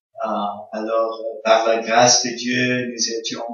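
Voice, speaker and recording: With an English accent, a man talks at a very slow pace. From Congo (American missionary family). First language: English (speaking French). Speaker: visiting pastor. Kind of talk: sermon. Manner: halting, many hesitations.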